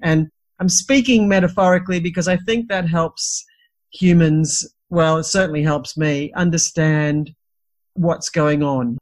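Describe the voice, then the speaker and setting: Speaking with an Australian accent, a woman has a fairly low pitch and a somewhat breathy sound. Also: ordinary pitch variation, fairly slow pace. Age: 60s. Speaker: midwife and teacher. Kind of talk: interview.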